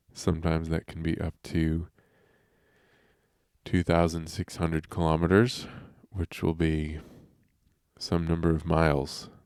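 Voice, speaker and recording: Recorded very cleanly against a silent background with a dry, close sound and no echo, a man talks in a very deep, low voice at a fairly slow pace, flat and monotone, with long, frequent pauses. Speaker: science podcast host. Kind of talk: casual educational podcast. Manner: conversational, digressive.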